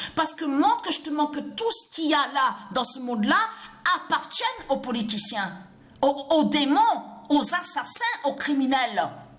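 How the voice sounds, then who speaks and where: Her pitch is high and swings very widely. The woman leaves long, frequent pauses amid noticeable background noise. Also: fairly slow pace. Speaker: religious video blogger. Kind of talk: ranting monologue. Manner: halting, repetitive stammering.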